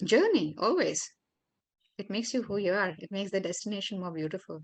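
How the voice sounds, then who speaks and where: A woman with a Marathi accent at a fairly quick pace, ordinary pitch variation, quiet background. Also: medium pitch for a woman. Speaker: yoga therapist and life coach.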